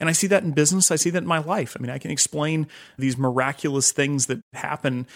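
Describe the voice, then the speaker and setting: Very fast speech comes from a man with a fairly high pitch and ordinary pitch variation, on a very clean recording with a silent background. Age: 30s. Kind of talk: interview.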